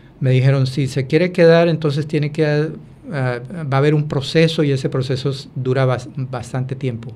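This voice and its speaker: Somewhat breathy and dark, mellow in tone, a man speaks at a moderate pace with a fairly high pitch and fairly even intonation. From Colombia, Buenaventura. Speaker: former migrant. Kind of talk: interview testimony. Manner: halting, many fillers.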